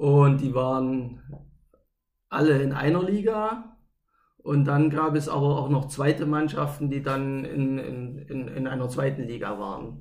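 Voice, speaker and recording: Somewhat breathy and fairly high-pitched, a man speaks at a fairly slow pace with ordinary pitch variation and audible room echo. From East Germany, Gera (Thuringia). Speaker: roller hockey club official and former player. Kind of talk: casual interview.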